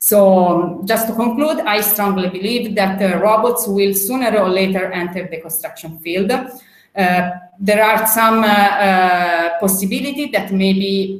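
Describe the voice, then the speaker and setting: Fairly slow speech from a woman at a medium pitch, with audible room echo. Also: ordinary pitch variation. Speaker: robotics expert. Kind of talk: panel presentation. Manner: hesitant, many fillers.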